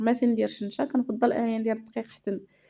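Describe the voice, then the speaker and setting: A woman speaks at a moderate pace with a Moroccan accent. Her pitch is fairly high and her tone is dark and mellow. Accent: Moroccan Arabic (Darija). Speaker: cooking channel host. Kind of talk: cooking tutorial. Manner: casual, with many fillers.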